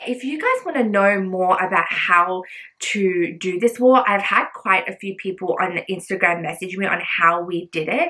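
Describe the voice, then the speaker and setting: Noticeable background noise runs under a woman's medium-pitched voice. She keeps a moderate pace with ordinary pitch variation. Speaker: lifestyle vlogger. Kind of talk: casual vlog tutorial. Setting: home bedroom. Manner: loud.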